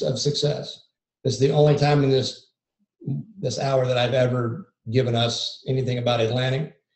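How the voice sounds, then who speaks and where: A man speaks at a moderate pace in a medium pitch, sounding somewhat breathy, with fairly even intonation. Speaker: lidar mapping industry presenter. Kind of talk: webinar presentation. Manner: monotone.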